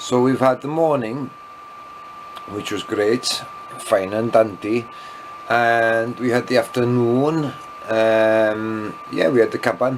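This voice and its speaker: The speaker has a Welsh accent and a very slow pace with long, frequent pauses. Pitch variation is ordinary, and noticeable background noise is present. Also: man, medium pitch for a man. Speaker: vlogger. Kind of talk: casual vlog monologue. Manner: rambling, hesitant with many fillers.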